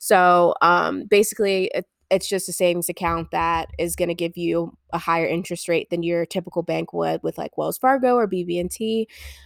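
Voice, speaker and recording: A normal speaking voice at a moderate pace, with fairly even intonation and hardly any pauses, comes through a very clean recording with a silent background and a dry, close sound with no echo. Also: woman, fairly low pitch for a woman. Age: 20s. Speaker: podcast co-host. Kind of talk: casual chat. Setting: on a couch at home.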